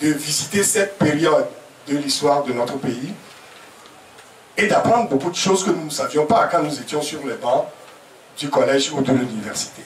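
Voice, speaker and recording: A man talks with lively intonation at a fairly high pitch for a man, leaving long, frequent pauses. Noticeable background noise runs underneath. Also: moderate pace. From Togo. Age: 70s. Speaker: professor. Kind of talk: press conference talk. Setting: press conference at a private home. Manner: hesitant with fillers.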